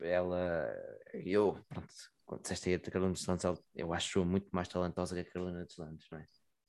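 A man's very deep, low voice with a European Portuguese accent, fairly quick pace, fairly even intonation and big swings in loudness. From Portugal, Santa Maria da Feira area. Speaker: musician. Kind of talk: casual chat. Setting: wearing a dog mask.

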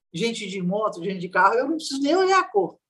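A woman with a medium-pitched voice speaks with very wide swings in pitch. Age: 60s. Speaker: social scientist, violence researcher. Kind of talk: interview conversation.

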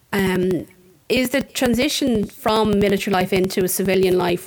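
A medium-pitched woman's voice in an Irish Midlands accent, with ordinary pitch variation. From Ireland, County Offaly (Tullamore). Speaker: podcast host. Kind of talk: interview.

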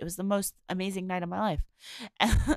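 In a very clean recording with a silent background, a woman speaks with an American accent. Her medium-pitched voice carries vocal fry and sounds dry and close, with no echo. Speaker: podcast host. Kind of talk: casual monologue. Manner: rambling with frequent fillers.

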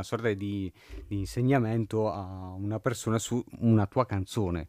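Over a very clean recording with a silent background, a man talks at a very slow pace, his fairly low pitch following a fairly even intonation. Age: 20s. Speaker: journalist and podcast host. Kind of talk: interview. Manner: halting.

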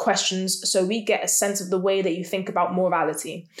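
Noticeable background noise runs under a woman speaking at a fairly quick pace. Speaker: podcast co-host. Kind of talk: casual chat.

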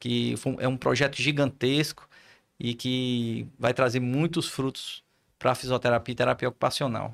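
A plain, everyday voice from a man, medium in pitch, with fairly even intonation at a moderate pace, on a very clean recording with a silent background. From Ceará, Brazil (Poeiras, interior). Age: 40s. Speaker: physiotherapist, head of professional council. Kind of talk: casual interview.

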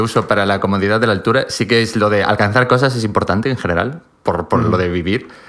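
A man is speaking. His pace is very fast. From Spain, Galicia (Pontevedra). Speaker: podcast guest. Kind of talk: casual chat.

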